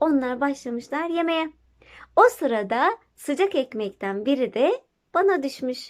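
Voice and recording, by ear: Over a very clean recording with a silent background, a woman talks with lively intonation at a fairly slow pace.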